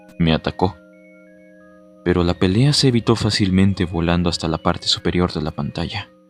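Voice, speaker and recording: A man speaks in a very deep, low pitch at a fairly quick pace, with ordinary pitch variation. Long, frequent pauses recur, and background noise is noticeable. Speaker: narrator. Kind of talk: read horror story narration.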